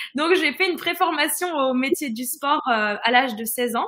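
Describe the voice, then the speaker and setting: A woman's raised, projected voice, high in pitch, with ordinary pitch variation and a bright, sharp tone. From northern France. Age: 20s. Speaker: holistic fitness coach. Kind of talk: live-stream interview.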